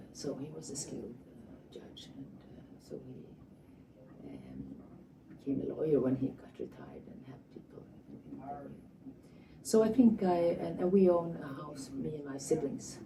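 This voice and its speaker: A woman speaks with long, frequent pauses. Audible room echo surrounds her voice. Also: moderate pace, big swings in loudness. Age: 70s. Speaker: family therapist. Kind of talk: interview. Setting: conference. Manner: halting.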